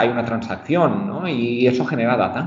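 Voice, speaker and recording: A man speaks at a medium pitch with lively intonation. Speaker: marketing research director. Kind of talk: casual chat. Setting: remote call.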